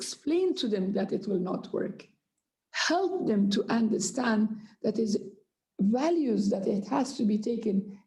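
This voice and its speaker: Her voice is somewhat breathy with a dark, mellow tone, and this woman speaks at a fairly high pitch and a fairly slow pace with lively intonation. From Afghanistan. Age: 60s. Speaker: Afghan politician. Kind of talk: panel discussion. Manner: impassioned.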